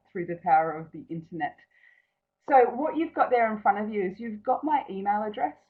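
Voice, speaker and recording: The speaker is a woman with an Australian accent. Her pitch variation is ordinary. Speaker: naturopath. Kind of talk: webinar presentation. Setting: online webinar from an empty office.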